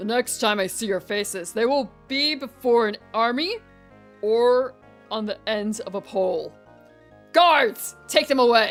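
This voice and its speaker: A woman's put-on, booming character voice, fairly high in pitch and fairly slow, with faint music in the background. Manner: commanding, menacing.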